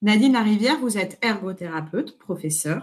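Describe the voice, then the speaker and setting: The speaker is a woman with a somewhat breathy voice. She talks at a moderate pace. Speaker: webinar moderator, sociologist. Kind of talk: webinar introduction.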